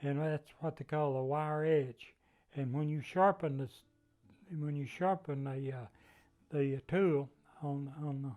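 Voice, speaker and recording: With a Southern Appalachian accent, a man speaks at a fairly slow pace with fairly even intonation and long, frequent pauses while music plays in the background. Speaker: wood turner. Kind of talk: craft demonstration.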